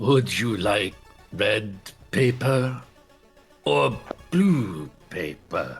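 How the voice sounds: A man puts on a character voice, pitched fairly low and delivered at a very slow pace. Faint music plays in the background.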